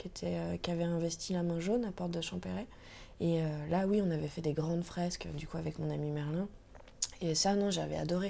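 A woman speaks at a moderate pace in a fairly low pitch with a dark, mellow tone. Her speech has long, frequent pauses. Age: 20s. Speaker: tattoo artist. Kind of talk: casual interview. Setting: at home.

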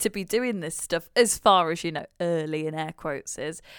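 A woman speaks in a dry, close recording with no echo, very clean and with a silent background. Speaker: podcast co-host and new mum. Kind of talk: casual chat.

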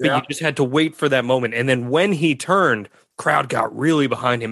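At a fairly quick pace, a man at medium pitch speaks in a normal speaking voice. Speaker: podcast host. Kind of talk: podcast hosting with ad reads.

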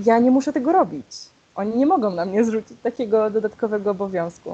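A woman speaks with ordinary pitch variation. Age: 20s. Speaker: LGBTQ+ activist, equality march organizer. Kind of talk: interview.

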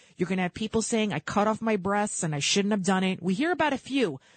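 Somewhat breathy and medium in pitch, a woman's voice comes through dry and close with no echo over a quiet background. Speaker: radio host. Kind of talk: live talk radio show. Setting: radio studio. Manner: animated, opinionated.

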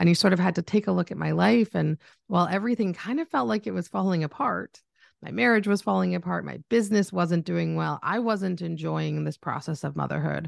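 A woman with a Canadian accent is heard in a dry, close recording with no echo and a quiet background. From Canada. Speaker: business coach and social media agency owner. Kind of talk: casual interview chat.

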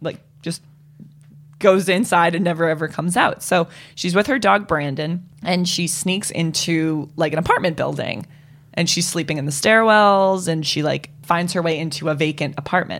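A woman speaks in a plain, everyday voice with an American accent, at a fairly low pitch with ordinary pitch variation. Her moderate pace comes through on a very clean recording with a silent background. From Boston. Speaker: podcast guest. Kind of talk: casual chat.

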